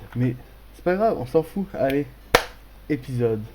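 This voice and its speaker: Moderate in pace, a man speaks. Noticeable background noise runs underneath. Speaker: gaming youtuber. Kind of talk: let's play commentary. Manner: animated.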